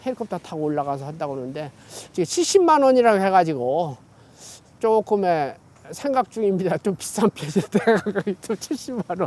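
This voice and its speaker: A man's high voice at a middling tempo, its pitch swinging very widely. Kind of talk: casual oral-history interview answer. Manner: relaxed, chatty, conversational.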